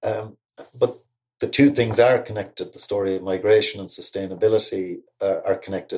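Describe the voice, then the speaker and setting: This voice has a Cork accent. The pace is fairly quick. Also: man. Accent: Cork Irish. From Ireland, Cork. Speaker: poet. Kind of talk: reflective interview talk. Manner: halting.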